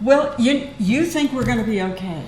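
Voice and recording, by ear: A woman speaks at a moderate pace with fairly high pitch and lively intonation. Her tone is slightly mellow, and audible room echo surrounds it.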